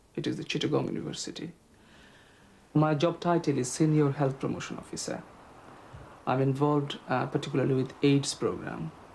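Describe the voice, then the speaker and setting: A man with a Bangladeshi accent, fairly high pitch and a somewhat breathy voice, at a fairly quick pace with long, frequent pauses and monotone, flat intonation. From Bangladesh, Sylhet. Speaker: health promotion officer. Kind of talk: interview.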